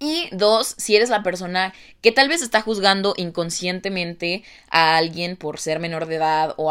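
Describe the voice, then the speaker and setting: Talking at a moderate pace, a woman with a fairly low pitch and ordinary pitch variation has an unremarkable speaking voice, heard in a very clean recording with a silent background. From Mexico. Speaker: podcast host. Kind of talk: casual monologue.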